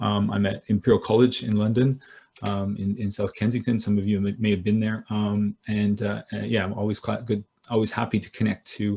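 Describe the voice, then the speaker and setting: With a dark, mellow tone, a man speaks fairly quickly at a fairly low pitch in a monotone, flat delivery. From Canada. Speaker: business school professor. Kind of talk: keynote lecture. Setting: video call. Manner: halting, many fillers.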